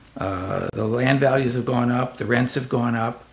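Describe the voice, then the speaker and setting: This man's voice sits at a medium pitch and moves at a fairly slow pace. Noticeable background noise is present. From elsewhere, moved to the island. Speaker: community housing advocate. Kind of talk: interview.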